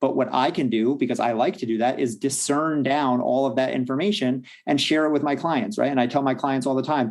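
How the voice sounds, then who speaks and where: A man talks at a fairly quick pace. His medium pitch varies in an ordinary way. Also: hardly any pauses, very even loudness. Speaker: confidence and fitness coach. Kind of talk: podcast interview. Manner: fast; straightforward.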